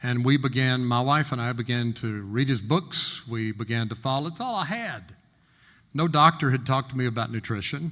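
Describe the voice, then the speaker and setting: A man speaks at a moderate pace with a bright, sharp tone. His pitch is medium, with ordinary variation. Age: 70s. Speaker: insurance agent and workshop panelist. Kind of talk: panel talk, personal testimony.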